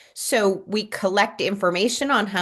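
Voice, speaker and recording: Against a quiet background, a woman talks in a normal speaking voice. Her pitch is medium and her pace fairly slow. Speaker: community nurse program presenter. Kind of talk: presentation at a town board meeting.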